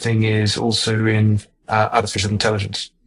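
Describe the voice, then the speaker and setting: Monotone, flat intonation over music in the background. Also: man. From Zimbabwe. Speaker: heart surgeon. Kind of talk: interview. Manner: halting, many fillers.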